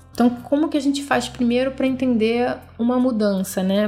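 A woman speaks at a fairly quick pace, her pitch fairly high. There is noticeable background noise. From Brazil, Rio de Janeiro. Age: 30s. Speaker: podcast host. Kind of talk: solo self-help podcast talk.

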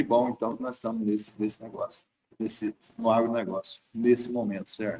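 A man talks in a dark, mellow tone at a medium pitch. His pace is fairly quick and his intonation fairly even. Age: 60s. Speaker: dairy farm owner. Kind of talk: interview.

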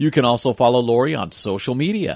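Upbeat and cheerful in tone, a man speaks in a dry, close sound with no echo. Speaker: radio co-host and announcer. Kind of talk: radio show intro and conversational interview. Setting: radio studio, live broadcast. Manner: upbeat, cheerful.

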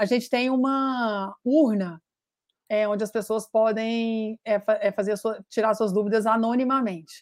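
A woman talks in a plain, everyday voice with fairly even intonation at a fairly slow pace. The recording is very clean, with a silent background. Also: fairly high pitch for a woman. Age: 50s. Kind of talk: interview.

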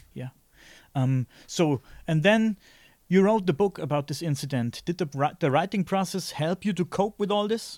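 A high-pitched man with a German accent and lively intonation, on a very clean recording with a silent background. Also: moderate pace, dry, close sound with no echo. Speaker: podcast host. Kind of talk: interview. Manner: halting.

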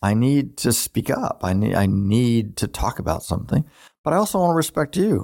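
Very wide pitch swings in a very clean recording with a silent background. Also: man. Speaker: relationship therapist podcast host. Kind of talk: casual educational talk. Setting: studio with two microphones.

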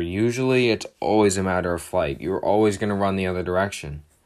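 This man has an unremarkable speaking voice, fairly low in pitch with ordinary variation, and keeps a moderate pace on a very clean recording over a silent background. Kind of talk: pep talk. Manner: earnest, direct, encouraging, conversational with a motivational push.

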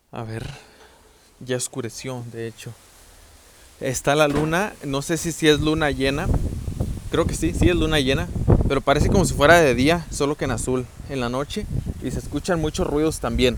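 A man speaks at a moderate pace with ordinary pitch variation, long and frequent pauses, and noticeable background noise. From Mexico, southern Zacatecas. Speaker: podcaster. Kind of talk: casual monologue. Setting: rural home, later outdoors at night. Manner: softer than usual; articulated.

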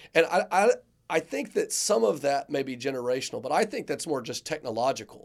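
Speaking at a fairly quick pace, a man with a fairly high pitch uses a normal speaking voice on a very clean recording with a silent background. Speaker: podcast co-host. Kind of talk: casual chat.

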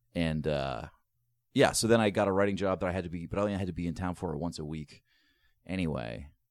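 In a very clean recording with a silent background, the voice moves at a very fast pace with vocal fry and ordinary pitch variation. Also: man, very deep, low pitch for a man. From US East Coast. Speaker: comedian and comedy show producer. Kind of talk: casual interview chat. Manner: loud.

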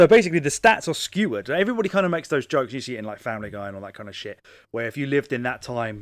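A man with a British accent speaks at a very fast pace and medium pitch. His intonation is lively on a very clean recording with a silent background. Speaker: podcast host. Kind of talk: casual chat. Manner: joking, casual, swears.

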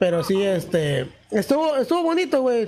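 The man speaks in an animated tone. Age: 20s. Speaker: podcast host. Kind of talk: casual chat. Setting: live stream.

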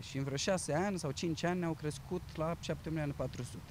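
A man speaks at a moderate pace. His pitch is fairly high, with ordinary variation. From Romania, Bucharest. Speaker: actor working in retail. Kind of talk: interview. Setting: outdoors in a park.

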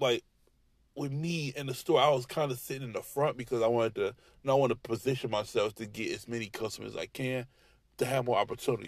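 The man's voice sits at a medium pitch. He keeps a fairly quick pace. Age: 30s. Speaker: podcaster and retail sales rep. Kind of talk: angry rant, venting on his job. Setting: in a car, driving late at night. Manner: fired up, profane, repetitive, with heavy 'you know what I'm saying' filler; defiant, ranting, braggadocious, with stretches of stop-start repetition.

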